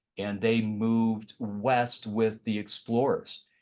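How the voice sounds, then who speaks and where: A man is speaking. He has a Chicago accent. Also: quiet background. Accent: Midwest Chicago. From US Midwest, Chicago area. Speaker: art director and painter. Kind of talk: career talk to students. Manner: halting, many fillers.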